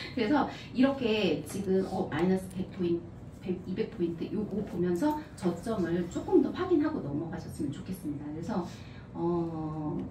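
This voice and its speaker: A woman with a fairly low pitch swings very widely up and down, with audible room echo and noticeable background noise. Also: moderate pace. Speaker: trading instructor. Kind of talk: lecture.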